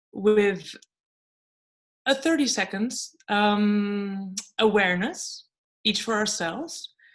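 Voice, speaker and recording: The speaker is a woman. She has a Dutch accent. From Netherlands. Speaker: lecturer and writer. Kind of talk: online lecture.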